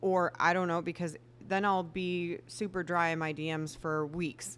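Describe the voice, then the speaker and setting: This woman has a plain, everyday voice, pitched fairly low. She talks at a moderate pace with fairly even intonation. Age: 40s. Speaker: photographer and business owner. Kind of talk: casual chat.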